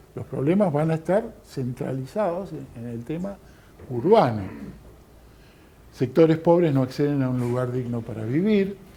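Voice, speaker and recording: At a moderate pace with long, frequent pauses, a man speaks in a dark, mellow, somewhat breathy tone at a fairly high pitch, with lively intonation and big swings in loudness. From Argentina. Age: 60s. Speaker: lecturer. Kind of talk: lecture. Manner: hesitant, many fillers.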